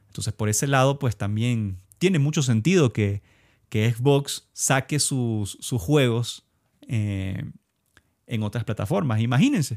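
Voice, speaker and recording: A man speaks at a fairly slow pace in a medium pitch with ordinary pitch variation, the sound dry and close with no echo on a very clean recording with a silent background. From Ecuador. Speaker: video game podcaster. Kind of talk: solo podcast commentary. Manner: halting, many fillers and repetitions.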